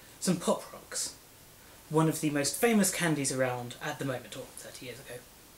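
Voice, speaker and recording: Lively intonation in a British accent, big swings in loudness, a moderate pace with long, frequent pauses, and noticeable background noise. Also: man. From Britain. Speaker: comedy video creator. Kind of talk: comedic vlog.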